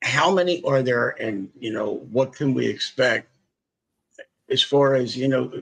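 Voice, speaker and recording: A man with a Philadelphia accent and lively intonation. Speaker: podcast host. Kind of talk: casual interview chat.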